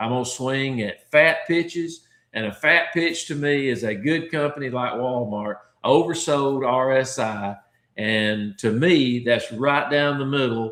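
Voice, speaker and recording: A man with an ordinary speaking voice talks at a medium pitch and a fairly slow pace, with ordinary pitch variation. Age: 60s. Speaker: stock trading educator. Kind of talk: livestream Q and A tutorial. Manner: casual, conversational with filler words.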